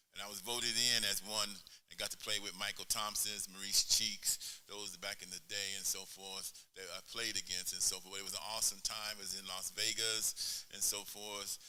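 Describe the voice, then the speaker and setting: Over noticeable background noise and audible room echo, a man with a fairly low pitch talks in a monotone, flat way with hardly any pauses. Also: moderate pace. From El Paso, Texas. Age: 70s. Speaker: pastor and former basketball player. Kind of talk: interview on stage.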